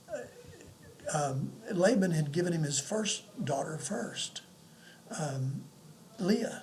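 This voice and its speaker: Audible room echo and noticeable background noise surround this man. He speaks at a high pitch with ordinary pitch variation. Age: 70s. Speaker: pastor. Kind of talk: sermon. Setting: home apartment. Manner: halting.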